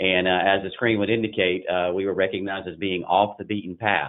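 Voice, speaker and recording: With a Southern US accent, a man speaks at a very deep, low pitch using fairly even intonation. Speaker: investment banking partner. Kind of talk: business webinar presentation. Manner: halting, frequent fillers.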